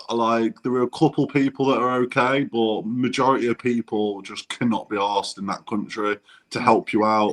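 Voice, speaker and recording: A man's medium-pitched voice in a Derby accent, at a moderate pace with fairly even intonation and a dry, close sound with no echo. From English Midlands, Burton upon Trent (Derbyshire area). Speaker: travel vlogger. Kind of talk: casual interview chat.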